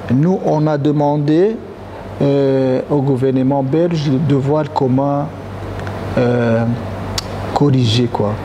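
A man's fairly high voice at a very slow pace, with long, frequent pauses and noticeable background noise. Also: ordinary pitch variation. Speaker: association president. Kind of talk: panel debate. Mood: serious, earnest. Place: hall. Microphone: lapel.

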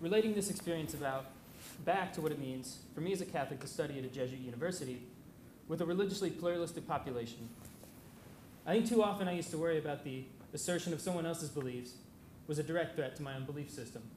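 Despite long, frequent pauses, a man races at a very fast pace with ordinary pitch variation, with audible room echo and light background noise. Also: fairly high pitch for a man. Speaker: university student; speaker. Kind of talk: short prepared remarks. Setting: lecture hall with audience. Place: hall. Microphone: podium.

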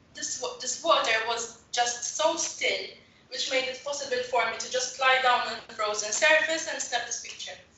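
A woman with a high pitch speaks at a moderate pace amid audible room echo. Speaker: photographer. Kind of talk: webinar presentation. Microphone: video call.

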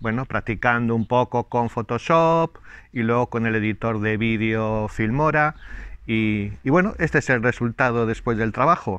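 A man talks fairly slowly, his pitch varying in an ordinary way. The sound is dry with no echo, against a quiet background. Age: 60s. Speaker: YouTuber; channel host. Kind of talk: casual vlog talk to viewers. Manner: hesitant, many fillers. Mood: warm, pleased. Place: garden. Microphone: lapel.

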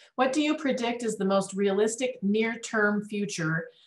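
A woman speaks at a moderate pace, somewhat breathy, with ordinary pitch variation. The background is quiet, though room echo is audible. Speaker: event staff reading audience questions. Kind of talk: reading questions aloud. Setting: video call. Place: meeting room.

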